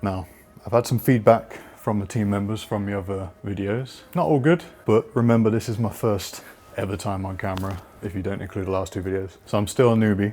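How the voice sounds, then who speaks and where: With a British accent, a man speaks at a fairly quick pace and a fairly low pitch. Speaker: video producer. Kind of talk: tutorial. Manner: monotone; casual, informal.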